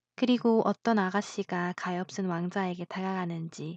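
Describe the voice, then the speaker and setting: In a calm, gentle tone, a woman speaks at a fairly slow pace and medium pitch, her intonation fairly even, with a dry, close sound with no echo and a quiet background. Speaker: voice actor. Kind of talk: audiobook fairy tale narration.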